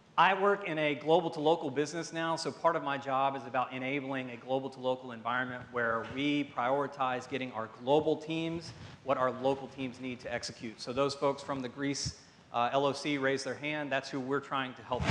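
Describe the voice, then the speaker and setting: A man with a Southern US accent talks at a fairly quick pace in a medium pitch. His intonation is fairly even, but his loudness swings widely. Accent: Southern American English. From US South. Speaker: pharmaceutical marketing director. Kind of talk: conference talk. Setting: stage with audience. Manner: fast.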